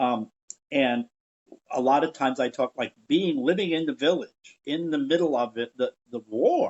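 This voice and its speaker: With an unremarkable speaking voice, a man speaks at a moderate pace, his pitch fairly high and its variation ordinary. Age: 60s. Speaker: educator and theater veteran, podcast guest. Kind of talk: interview conversation.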